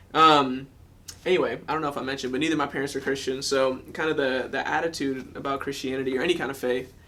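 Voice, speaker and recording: A man talks at a very fast pace in a bright, sharp tone. His intonation stays monotone and flat. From US South, Georgia. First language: German. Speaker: former college wrestler. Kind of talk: testimony. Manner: casual with many fillers.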